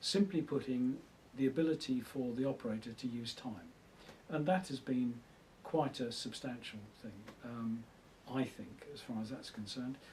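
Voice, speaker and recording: A man's somewhat breathy, medium-pitched voice at a moderate pace. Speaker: retired electronics engineer. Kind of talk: oral history interview. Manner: hesitant, with many fillers.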